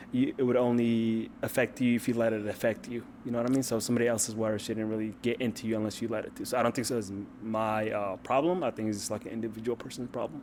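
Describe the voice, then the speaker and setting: Fairly even intonation and a medium pitch from a man at a very fast pace. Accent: Ethiopian. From Ethiopia. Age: 20s. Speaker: dating show contestant. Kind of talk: casual chat. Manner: halting, many fillers.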